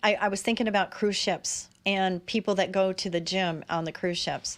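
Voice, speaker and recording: A woman of medium pitch speaks with fairly even intonation in a plain, everyday voice. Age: 60s. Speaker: talk show host. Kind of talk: casual interview chat.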